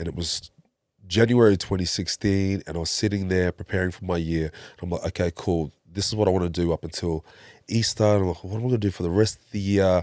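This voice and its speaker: A man with a very deep, low pitch talks at a very fast pace with fairly even intonation, recorded very cleanly against a silent background. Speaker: breathwork facilitator. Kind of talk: interview.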